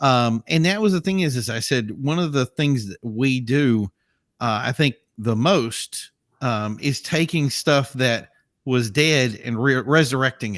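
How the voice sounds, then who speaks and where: In a very clean recording with a silent background and a dry, close sound with no echo, a man speaks fairly slowly at a medium pitch with ordinary pitch variation. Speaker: car show host. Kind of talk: casual chat. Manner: loud.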